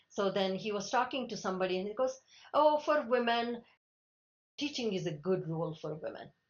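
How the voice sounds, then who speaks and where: A fairly quick pace with lively intonation. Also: woman, medium pitch for a woman. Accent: Telugu. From India, Telugu-speaking region. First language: Telugu. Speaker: Linux kernel maintainer. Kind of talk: interview. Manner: halting, many restarts.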